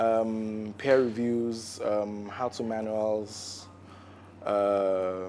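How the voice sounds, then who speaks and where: In a room with audible echo, a man with a fairly low voice speaks very slowly in a monotone, flat delivery. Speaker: arts writer and critic. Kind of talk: panel talk. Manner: halting, many fillers.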